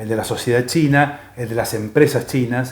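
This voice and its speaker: Somewhat breathy, a man with medium pitch and fairly even intonation talks at a moderate pace. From Argentina. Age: 60s. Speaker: economist and China scholar. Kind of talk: interview. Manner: halting, many filler pauses.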